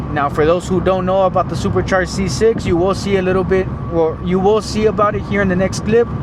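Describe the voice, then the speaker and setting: A man's high-pitched voice at a very fast pace, fairly even in intonation, amid noticeable background noise. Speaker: car builder / automotive youtuber. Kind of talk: casual vlog tutorial. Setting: apartment complex parking, late night. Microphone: some echo.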